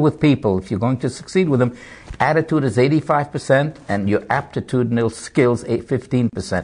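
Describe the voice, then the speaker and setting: A man's medium-pitched voice, somewhat breathy, shifts in pitch in an ordinary way. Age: 70s. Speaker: motivational speaker and Holocaust survivor. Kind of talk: TV interview. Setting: TV studio.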